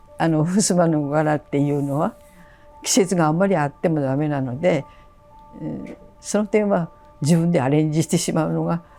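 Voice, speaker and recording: A woman speaks with a very deep, low pitch, leaving long, frequent pauses. Music plays in the background. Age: 80s+. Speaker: traditional washi paper artisan. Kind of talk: interview answer.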